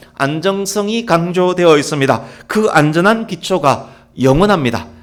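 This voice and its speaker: Pitched high, a man talks at a fairly slow pace with lively intonation. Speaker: pastor. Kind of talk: sermon.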